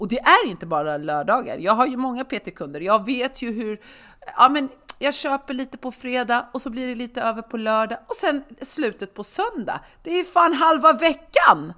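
In a bright, sharp, animated tone, a woman speaks at a high pitch and moderate pace, with very wide pitch swings and big swings in loudness. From Sweden. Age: 30s. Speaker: personal trainer. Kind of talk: casual chat. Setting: studio.

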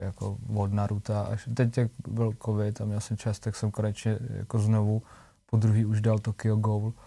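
The recording is very clean, with a silent background. A man speaks at a moderate pace with fairly low pitch, monotone, flat intonation and a dark, mellow, somewhat breathy tone. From Czech Republic, small town. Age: 20s. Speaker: singer. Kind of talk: casual chat.

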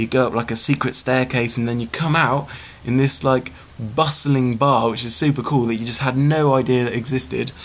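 Speaking at a fairly quick pace, a man with a British accent has a medium pitch. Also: fairly even intonation. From Britain. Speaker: filmmaker. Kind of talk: recorded answers to emailed interview questions. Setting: self-recorded audio file.

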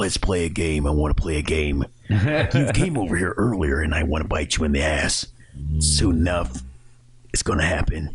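Doing a put-on character voice, a man speaks raspy and at a very deep, low pitch, at a moderate pace. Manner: menacing, taunting.

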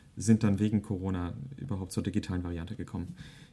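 At a fairly quick pace, a man talks in a plain, everyday voice, fairly low in pitch with ordinary pitch variation. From Germany. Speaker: music association manager and cellist. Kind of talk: casual interview.

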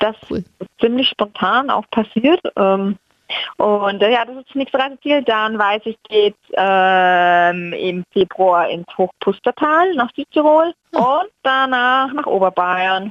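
Very slow speech with lively intonation and big swings in loudness. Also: woman, fairly high pitch for a woman. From Franconia, Germany. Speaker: travel blogger. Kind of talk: casual interview. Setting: phone call.

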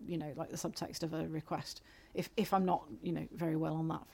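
A woman's fairly low voice with vocal fry at a very fast pace. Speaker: podcast co-host. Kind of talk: casual chat. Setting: home studio with directional mic.

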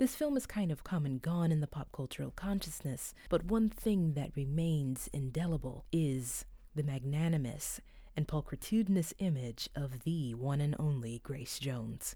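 In a very clean recording with a silent background, a woman with a very deep, low voice speaks at a moderate pace, her tone dark, mellow and somewhat breathy, her intonation lively. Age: 30s. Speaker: guest horror writer. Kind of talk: scripted reading.

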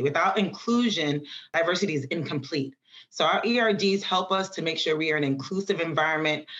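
A woman with an unremarkable speaking voice in an American accent, fairly low in pitch, with lively intonation at a moderate pace. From New York City, the Bronx. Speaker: electrical engineer. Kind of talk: interview.

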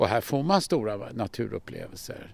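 A man speaking at a fairly slow pace. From Stockholm, Sweden. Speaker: birdwatcher and conservationist, excursion guide. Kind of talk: guided walk explanation. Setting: outdoors.

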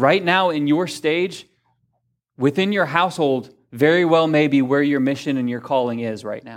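This is an ordinary speaking voice at a moderate pace, with ordinary pitch variation and big swings in loudness. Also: man, fairly high pitch for a man. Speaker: pastor. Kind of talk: sermon. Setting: church; stage with audience.

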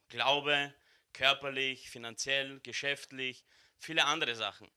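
A man's medium-pitched voice, animated and bright, sharp in tone, with ordinary pitch variation. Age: 20s. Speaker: church member giving the welcome. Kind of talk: welcome speech at a church service. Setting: church service with live audience.

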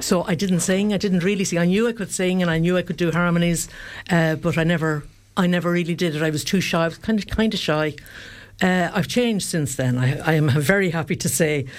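Fairly quick speech from a woman in an Irish accent, fairly low in pitch, with ordinary pitch variation. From Ireland, County Kildare. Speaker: singer. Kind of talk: radio interview. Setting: studio.

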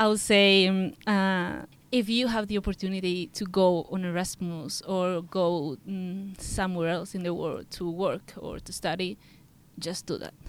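A woman speaks very slowly at medium pitch. Her intonation stays fairly even. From Andalusia, Spain (Seville area). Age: 20s. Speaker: architecture student on exchange. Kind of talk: casual interview; summary in English.

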